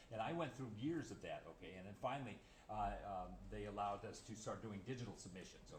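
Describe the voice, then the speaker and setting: The somewhat breathy voice moves at a very fast pace with ordinary pitch variation, and audible room echo surrounds it. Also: man. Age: 70s. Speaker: watercolor painter. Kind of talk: interview. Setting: art gallery. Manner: halting.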